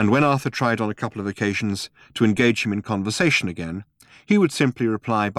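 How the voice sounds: There is ordinary pitch variation in this natural reading voice.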